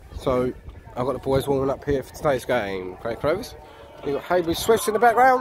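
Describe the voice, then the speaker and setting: Over clear background music, a man talks at a fairly quick pace. His loudness swings widely, and the sound is dry with no echo. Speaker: football fan vlogger. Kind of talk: casual vlog chat. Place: stadium. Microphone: phone near.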